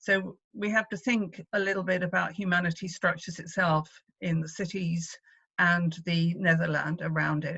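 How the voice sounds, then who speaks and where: A woman speaks with a British accent at a fairly low pitch. Her intonation stays fairly even at a moderate pace. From Wales. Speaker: activist, former party leader. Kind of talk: conference speech. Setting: video call. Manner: hesitant, many fillers.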